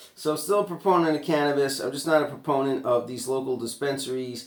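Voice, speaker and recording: A man speaks in a New York accent. He goes at a very fast pace. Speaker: vlogger. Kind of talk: rant. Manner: animated.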